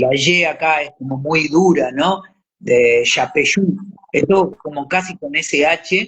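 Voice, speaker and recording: A man in a Rioplatense accent, fairly high in pitch, very slow, with ordinary pitch variation. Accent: Argentine Rioplatense Spanish. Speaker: actor and voice actor. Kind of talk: interview. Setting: live stream.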